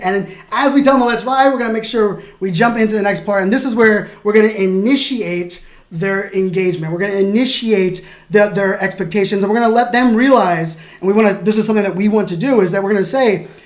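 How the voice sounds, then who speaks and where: An animated tone at a fairly quick pace, with ordinary pitch variation and audible room echo. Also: man, high pitch for a man. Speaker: keynote speaker and presentation coach. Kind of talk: tutorial. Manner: fast.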